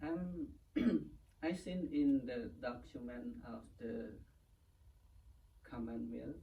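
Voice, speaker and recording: In a room with audible echo, a man with a Cambodian accent speaks at a very slow pace with long, frequent pauses. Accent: Cambodian (Khmer). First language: Khmer. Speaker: Buddhist monk. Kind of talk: interview. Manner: halting.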